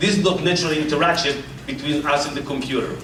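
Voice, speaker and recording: Amid noticeable background noise and audible room echo, a man with an American accent speaks at a fairly quick pace with ordinary pitch variation. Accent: Californian Israeli. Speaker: tech executive presenter. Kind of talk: keynote presentation. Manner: animated.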